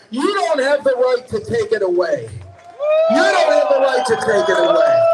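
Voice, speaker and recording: At a moderate pace, the speaker's pitch swings very widely while the loudness stays very even, with audible room echo and noticeable background noise. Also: man, extremely high pitch for a man. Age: 70s. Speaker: activist speaker at a rally. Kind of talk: rally speech. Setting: outdoor rally in the rain. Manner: animated.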